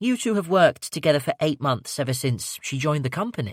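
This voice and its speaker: A man's put-on character voice, fairly high in pitch, with very wide pitch swings at a very fast pace. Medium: read story. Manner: measured, grave.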